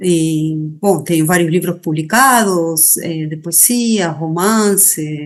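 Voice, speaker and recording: A woman speaks very slowly with an Argentine accent, her pitch fairly low with ordinary variation. Audible room echo surrounds her voice. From Argentina. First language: Spanish (speaking Portuguese). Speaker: writer, poet and feminist activist. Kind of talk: interview. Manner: halting, many fillers and repeats.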